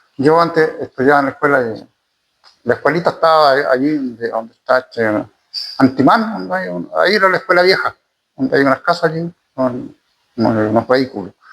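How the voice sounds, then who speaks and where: This man has a Chilean accent and a fairly high pitch. He talks at a fairly quick pace with very wide pitch swings. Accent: rural Chilean Spanish. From Chile, rural. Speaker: former community leader, farmer. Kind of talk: interview, oral history. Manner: halting, many repetitions.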